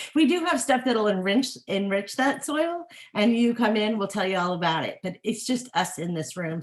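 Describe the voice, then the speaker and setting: A somewhat breathy woman's voice with very wide pitch swings at a moderate pace. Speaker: horticulturist. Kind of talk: webinar talk with Q&A. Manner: animated.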